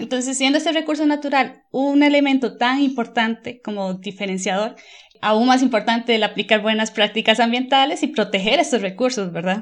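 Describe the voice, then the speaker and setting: In a quiet background, a woman with a fairly high pitch speaks at a fairly quick pace with ordinary pitch variation. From Costa Rica. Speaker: environmental management consultant. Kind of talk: interview.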